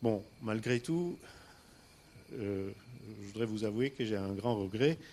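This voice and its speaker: A man speaks with an Armenian accent and a dark, mellow tone. His pace is very slow. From Istanbul, Turkey (Armenian family). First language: Armenian (speaking French). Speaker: entrepreneur. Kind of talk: personal storytelling talk. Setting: stage with audience. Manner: halting, many hesitations.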